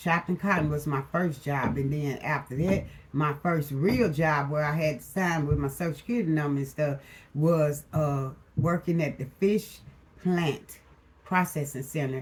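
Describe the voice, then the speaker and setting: A woman speaks with a very deep, low pitch and a relaxed, somewhat breathy tone. Her pace is moderate, with ordinary pitch variation. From US South, Mississippi Delta (Itta Bena). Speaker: motivational YouTuber. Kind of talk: casual Q&A vlog. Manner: relaxed, conversational.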